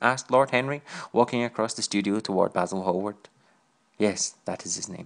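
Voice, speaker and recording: A man speaks at a fairly quick pace with a Scottish accent. His voice is fairly low, with ordinary pitch variation. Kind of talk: audiobook reading.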